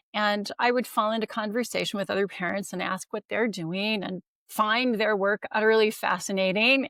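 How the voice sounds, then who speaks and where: A plain, everyday voice from a woman with an American accent, fairly high-pitched at a moderate pace, dry and close with no echo, on a very clean recording with a silent background. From United States. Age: 60s. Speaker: longevity expert. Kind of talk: interview.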